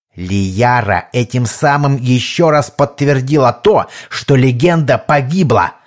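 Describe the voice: A plain read-aloud delivery, its pitch varying in an ordinary way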